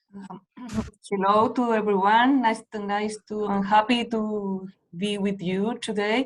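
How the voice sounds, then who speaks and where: A woman's fairly high voice with a Spanish accent, flat monotone intonation and big swings in loudness. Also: fairly slow pace. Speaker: deputy director, panelist. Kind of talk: panel presentation. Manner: halting.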